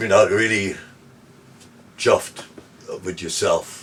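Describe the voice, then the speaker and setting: There's a man talking. Behind his voice, background noise is noticeable. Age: 70s. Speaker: surfer. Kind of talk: interview answer. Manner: casual, hesitant.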